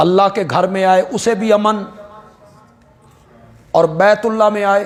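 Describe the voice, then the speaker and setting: A man is speaking. His tone is passionate. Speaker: Islamic scholar and preacher. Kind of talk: Urdu religious sermon on Quranic commentary and Islamic history. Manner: passionate, emotional, oratorical.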